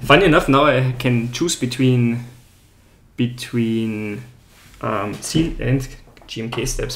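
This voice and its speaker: A man with an Austrian accent, at a fairly slow pace, with fairly even intonation, a somewhat breathy voice and audible room echo. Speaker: keyboard builder streamer. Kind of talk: casual livestream chat. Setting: livestream.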